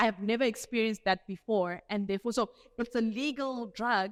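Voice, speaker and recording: A woman with a South African accent speaks at a moderate pace, her pitch fairly high and her pitch variation ordinary. The recording is very clean and dry, close-sounding with no echo and a silent background. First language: Afrikaans. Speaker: doctor giving a health talk. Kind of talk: health talk lecture. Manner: casual conversational.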